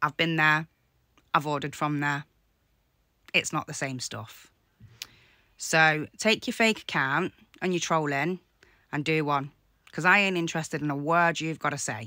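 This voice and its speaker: Over a quiet background with a dry sound and no echo, a woman with a very deep, low pitch and a bright, sharp tone speaks at a moderate pace with ordinary pitch variation and long, frequent pauses. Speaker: content creator replying to a troll. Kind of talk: casual vlog chat. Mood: annoyed, defiant. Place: home room. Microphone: phone near.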